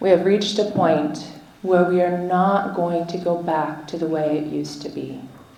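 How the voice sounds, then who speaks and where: A woman talks at a moderate pace amid noticeable background noise, her voice carrying audible room echo. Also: fairly low pitch for a woman, fairly even intonation. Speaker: activist and traditional healer. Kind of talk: rally speech. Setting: stage with audience. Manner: loud.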